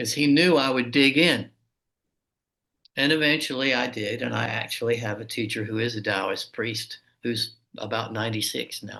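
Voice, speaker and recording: Male speaker, a normal speaking voice, mid-range pitch, typical rise and fall, unhurried but not slow delivery. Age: 60s. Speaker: martial arts teacher and author. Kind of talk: interview conversation.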